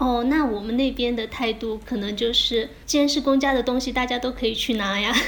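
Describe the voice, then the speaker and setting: A woman at high pitch, fairly quick and with hardly any pauses, fairly even in intonation, over noticeable background noise. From Jiangxi, Fuzhou (Linchuan). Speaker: podcast host. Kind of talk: casual chat. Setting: remote recording, evening.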